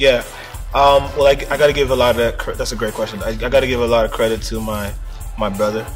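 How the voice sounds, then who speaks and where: With music in the background, a man rattles through his words at a very fast pace. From Brampton, Ontario. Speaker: hip hop artist. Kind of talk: interview answer.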